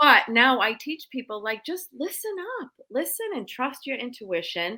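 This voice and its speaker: In a raised, projected voice, a woman with an American accent speaks at a fairly slow pace and high pitch, her pitch swinging very widely and her loudness shifting a lot. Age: 50s. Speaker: psychic medium. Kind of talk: interview storytelling. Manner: animated.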